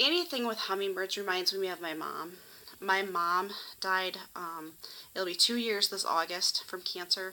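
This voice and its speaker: The tone of this woman's voice is bright and sharp. Her pitch is medium, and her intonation is fairly even. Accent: American. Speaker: YouTuber doing shopping hauls. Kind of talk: casual vlog haul. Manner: fast; chatty, many fillers (um).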